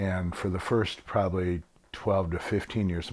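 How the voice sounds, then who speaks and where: This man has a very deep, low pitch and a Midwestern American accent. His intonation stays fairly even on a very clean recording with a silent background. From Michigan, Flint. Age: 60s. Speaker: musician. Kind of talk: interview. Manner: hesitant, filler words.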